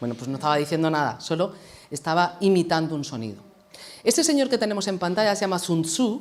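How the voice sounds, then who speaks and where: In an Andalusian accent, a woman with a fairly low pitch talks at a very fast pace in an animated tone. The recording is very clean, with a silent background. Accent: Andalusian (Jaén). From Andalusia, Jaén. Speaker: HR consultant and communication trainer. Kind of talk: lecture.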